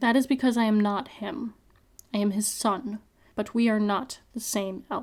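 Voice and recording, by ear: Fairly even intonation carries this reading aloud in a natural voice.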